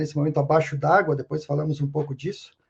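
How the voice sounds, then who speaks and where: A man speaks at a fairly high pitch with fairly even intonation. His voice is somewhat breathy. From southern Brazil, Rio Grande do Sul. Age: 60s. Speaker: sociologist and consultant. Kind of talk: interview podcast conversation. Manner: repetitive, halting restarts.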